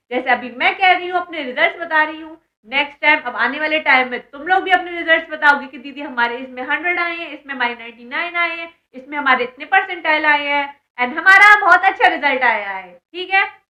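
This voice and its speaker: A raised, projected voice with a bright, sharp tone moves at a moderate pace, showing ordinary pitch variation and big swings in loudness. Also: woman, high pitch for a woman. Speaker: online educator and exam mentor. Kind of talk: educational vlog talking to students. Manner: casual, chatty.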